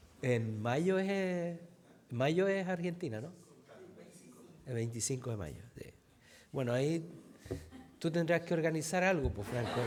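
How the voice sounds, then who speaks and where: With lively intonation, a man speaks at a fairly slow pace, leaving long, frequent pauses, and the room echo is audible. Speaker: pastor. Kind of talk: sermon.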